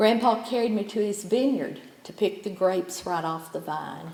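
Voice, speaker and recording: Speaking fairly slowly in a Southern Appalachian accent, a woman has a medium pitch and ordinary pitch variation, with audible room echo. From East Tennessee, Sevier County. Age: 70s. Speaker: poet. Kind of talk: poetry reading.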